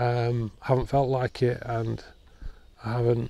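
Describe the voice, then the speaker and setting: A man's dry voice with no echo over light background noise. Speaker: woodland photographer vlogger. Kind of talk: casual vlog chat. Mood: subdued, reflective, grieving. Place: forest.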